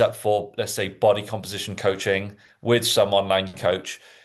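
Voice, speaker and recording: A man talks with a slight Welsh accent. His pitch varies in an ordinary way. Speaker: fitness podcast host. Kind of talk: casual chat.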